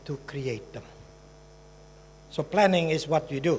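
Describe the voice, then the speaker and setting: A man's high voice with ordinary pitch variation. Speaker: human development specialist giving a conference presentation. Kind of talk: conference presentation.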